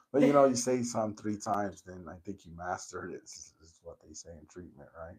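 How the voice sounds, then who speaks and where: A man with a fairly low pitch talks at a fairly quick pace in a normal speaking voice, barely pausing, with ordinary pitch variation and big shifts in loudness. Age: 40s. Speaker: podcast host. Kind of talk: casual chat. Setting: in-person conversation.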